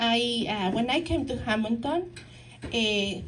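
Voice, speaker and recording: Lively intonation runs through a woman's fairly high-pitched voice. She speaks at a fairly slow pace with audible room echo. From Mexico. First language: Spanish. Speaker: counselor and nonprofit founder. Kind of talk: talk to a local society. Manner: halting, many fillers and restarts.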